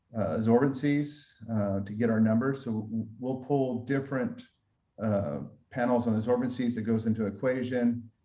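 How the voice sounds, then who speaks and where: With a dark, mellow tone, the voice moves at a moderate pace with fairly even intonation. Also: man. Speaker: winemaker. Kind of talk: panel presentation.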